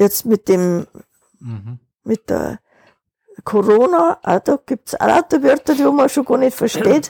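With a fairly high pitch, vocal fry and a dark, mellow tone, a woman talks at a very slow pace with long, frequent pauses and very wide pitch swings, her sound dry and close with no echo. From Upper Bavaria, Wartenberg. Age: 80s. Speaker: interviewee, retiree. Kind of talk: casual interview.

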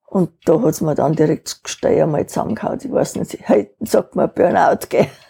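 A woman with a fairly low pitch and a dark, mellow tone speaks somewhat breathily at a moderate pace, her pitch swinging very widely in a dry, close sound with no echo. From Upper Bavaria, Wartenberg. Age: 80s. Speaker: interviewee, retiree. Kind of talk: casual interview.

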